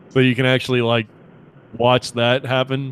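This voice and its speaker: It is an unremarkable speaking voice at a moderate pace. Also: man. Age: 30s. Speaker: podcast host. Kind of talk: casual chat.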